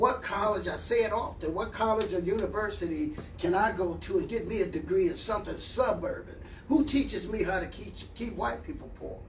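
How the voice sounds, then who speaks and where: Talking fairly quickly, a man is recorded with audible echo from the room and noticeable noise in the background. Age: 60s. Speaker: community organization leader. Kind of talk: casual chat. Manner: animated.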